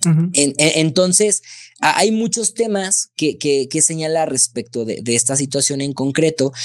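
The speech moves at a fairly slow pace with lively intonation over a quiet background. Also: man. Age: 20s. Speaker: lawyer. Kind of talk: expert explanation in interview. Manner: halting, repeats words. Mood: explanatory, friendly. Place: home room. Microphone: studio mic.

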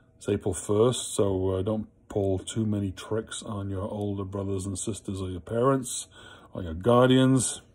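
The voice is somewhat breathy, with fairly even intonation. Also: man, fairly low pitch for a man, moderate pace. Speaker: school prayer leader. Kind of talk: school morning prayer, led with the children's prayers and a Hail Mary. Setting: recorded video message to students at home. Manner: warm, playful and teacherly, then reverent and fervent in prayer. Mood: calm, warm. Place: home room. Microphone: phone near.

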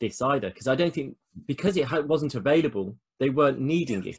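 A man speaks at a fairly quick pace in a fairly high, somewhat breathy voice. His intonation is lively, over a quiet background. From Birmingham, England. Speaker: podcast host. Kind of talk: casual interview. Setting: video call. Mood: friendly, joking. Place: home room. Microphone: video call.

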